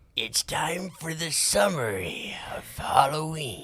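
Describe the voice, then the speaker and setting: Putting on a raspy character voice, a man talks at a fairly slow pace with a fairly high pitch. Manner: spooky, theatrical.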